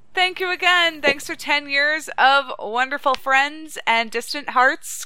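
A woman's raised, projected voice, high-pitched with a bright, sharp tone, lively intonation, and a fairly slow pace. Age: 30s. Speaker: original creator of the podcast, returning guest. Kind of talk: casual chat.

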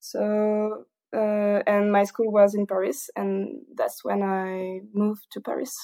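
A woman speaks at a very slow pace. She has a strong southern French accent. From southern France, Toulouse. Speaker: engineer. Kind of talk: casual interview. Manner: halting, many fillers; frequent laughter.

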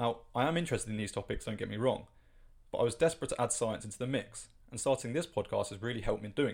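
Very fast, somewhat breathy speech with ordinary pitch variation, in a British accent. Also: man, medium pitch for a man. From UK. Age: 20s. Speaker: science podcast host. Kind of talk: scripted narration.

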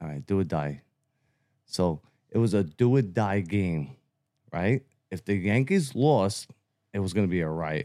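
A man with a Brooklyn accent speaks at a fairly slow pace in a fairly low voice, his intonation lively and broken by long, frequent pauses. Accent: New York (Brooklyn). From Brooklyn, New York City (Bensonhurst). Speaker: First Amendment auditor. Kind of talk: casual interview.

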